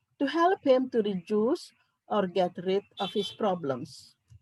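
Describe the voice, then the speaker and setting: A somewhat breathy woman's voice with very wide pitch swings, in a dry, close sound with no echo. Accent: non-native. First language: not English. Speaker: psychiatrist. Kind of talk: conference talk.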